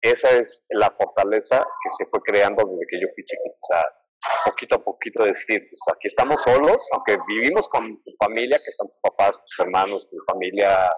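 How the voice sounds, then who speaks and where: The sound is dry and close with no echo as this man talks at a moderate pace. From Mexico City. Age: 30s. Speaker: cancer survivor and motivational speaker. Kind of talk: interview testimony.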